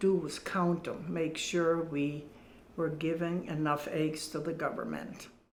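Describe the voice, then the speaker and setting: A woman with a fairly low pitch talks amid noticeable background noise and audible room echo. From Germany (rural farm). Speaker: WWII survivor. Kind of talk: testimony. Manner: halting.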